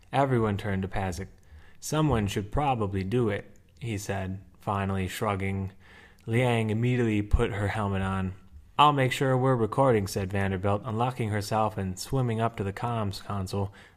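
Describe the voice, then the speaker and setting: A man with an American accent, fairly low pitch, fairly even intonation and a moderate pace, on a very clean recording with a silent background. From USA, Wisconsin. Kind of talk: short story reading.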